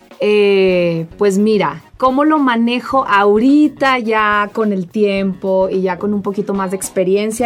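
At a very slow pace, a woman with a medium-pitched voice speaks with hardly any pauses and ordinary pitch variation. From northern Mexico, Saltillo, Coahuila. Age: 30s. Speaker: social media influencer. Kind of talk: casual interview.

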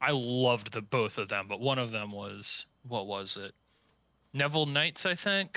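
A man with an American accent and a plain, everyday voice, medium in pitch, with lively intonation and a fairly slow pace. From Cincinnati, Ohio. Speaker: podcast co-host. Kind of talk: casual chat.

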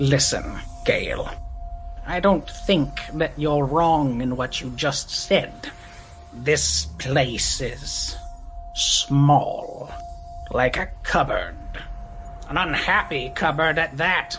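Set against clear music in the background, a put-on character voice moves at a very slow pace, broken by long, frequent pauses. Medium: actual play. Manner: odd, blunt, abrupt.

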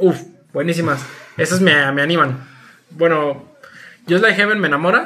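With a Mexican accent, a man speaks at a fairly slow pace and with ordinary pitch variation. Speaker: podcast co-host. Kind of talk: casual chat. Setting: recorded remotely.

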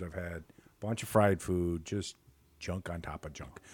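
Speaking at a fairly slow pace, a man with a Chicago accent uses an animated tone. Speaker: podcast co-host. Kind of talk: casual banter between two friends. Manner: joking, talkative, animated.

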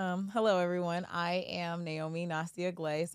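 In a very clean recording with a silent background, a woman with an American accent speaks at a moderate pace and with fairly even intonation. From US Midwest, Kansas City suburbs, Missouri. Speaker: realtor and event founder. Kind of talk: interview.

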